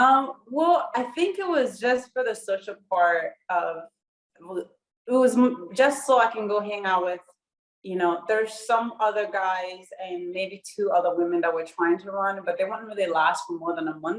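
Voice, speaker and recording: A woman at a medium pitch and moderate pace with lively intonation. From Burundi. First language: Kirundi. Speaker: professional runner, Olympian. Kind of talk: interview.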